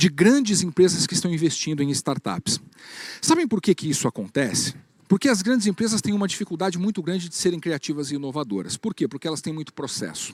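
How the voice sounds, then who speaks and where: With lively intonation, a man speaks at a very fast pace and a high pitch, the sound dry and close with no echo. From Paraná, Brazil. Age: 40s. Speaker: business speaker. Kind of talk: keynote talk.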